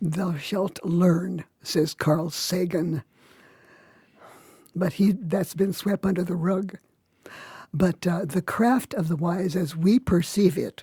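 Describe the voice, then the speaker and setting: In a dry, close recording with no echo, a woman speaks very slowly with long, frequent pauses, her voice dark, mellow and somewhat breathy, her pitch fairly low and her intonation fairly even. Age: 80s+. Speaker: Wiccan teacher. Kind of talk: interview.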